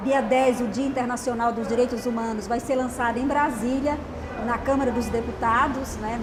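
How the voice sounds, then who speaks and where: A woman talks at a moderate pace in a high pitch with monotone, flat intonation. Noticeable background noise and audible room echo fill the recording. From Alagoas, northeastern Brazil (Taquarana). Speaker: journalist and author. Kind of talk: TV interview.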